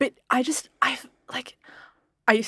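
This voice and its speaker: A woman with an Australian accent is heard in a dry, close sound with no echo. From Italian background. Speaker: podcast co-host. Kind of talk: casual chat.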